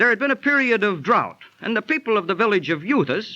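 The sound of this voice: In a put-on character voice, a man talks at a fairly quick pace, pitched high with big pitch swings and a bright, sharp tone.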